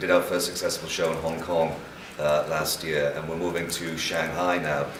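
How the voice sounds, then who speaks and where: Audible room echo and noticeable background noise surround a man speaking at a very deep, low pitch. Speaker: conference panelist. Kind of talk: panel discussion. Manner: loud.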